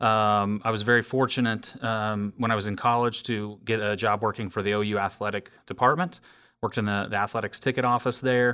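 A man with an American accent, fairly low pitch, fairly even intonation and a bright, sharp tone, on a very clean recording with a silent background. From Oklahoma. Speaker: pro soccer club executive. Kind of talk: interview.

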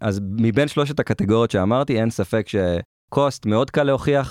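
A man speaks at a medium pitch with lively intonation in a normal speaking voice, on a very clean recording with a silent background and a dry, close sound with no echo. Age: 30s. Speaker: product manager. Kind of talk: interview.

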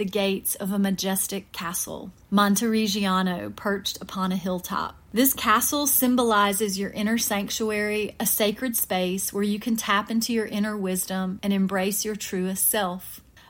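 A woman speaks in a gentle tone at medium pitch, somewhat breathy, with hardly any pauses. The recording is very clean, with a silent background. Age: middle-aged. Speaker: podcast host. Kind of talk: guided meditation. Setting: studio. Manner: soothing, calm; slow, gentle pacing.

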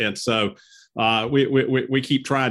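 A man's voice with a Southern US accent. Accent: Southern American. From US South, northwest Georgia (Cedartown). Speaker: lawyer, podcast co-host. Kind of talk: casual interview chat. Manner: halting, many fillers.

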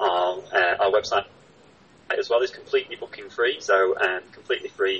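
A man at a moderate pace with an East Midlands accent. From northern England, Chesterfield, North Derbyshire. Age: 30s. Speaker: arts centre box office manager and film programmer. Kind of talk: interview.

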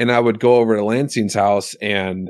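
A plain, everyday voice: a man with an American accent, fairly low pitch and a moderate pace, the sound dry and close with no echo, over a quiet background. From Alaska, US. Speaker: musician and podcast host. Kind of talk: casual conversation.

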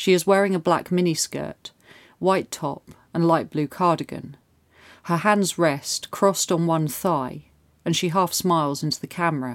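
A woman with an ordinary speaking voice talks at a moderate pace. Her pitch is fairly low and her intonation fairly even. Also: very clean recording, silent background. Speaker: true crime narrator. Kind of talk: scripted true-crime narration, solemn and measured. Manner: formal, steady, sombre storytelling pace.

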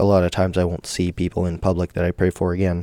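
In a very clean recording with a silent background, a man speaks with very deep, low pitch and a dark, mellow tone. The sound is dry and close, without echo. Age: 20s. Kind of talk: solo devotional talk. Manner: casual, filler-heavy.

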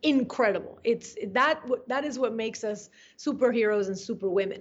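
A woman's fairly high voice with a Spanish accent. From Venezuela (Caracas). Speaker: journalist. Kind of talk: interview. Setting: remote call. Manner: animated.

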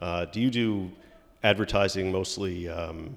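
This man has a plain, everyday voice and an American accent. His fairly low pitch varies in an ordinary way at a moderate pace. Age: 50s. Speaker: podcast host. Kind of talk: casual interview; scripted intro.

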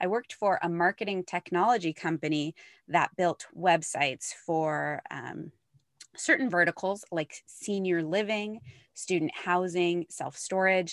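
On a very clean recording with a silent background and a dry, close sound with no echo, a woman with an American accent uses a normal speaking voice, fairly low in pitch and at a fairly slow pace. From upstate New York. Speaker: marketing agency founder. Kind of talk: interview.

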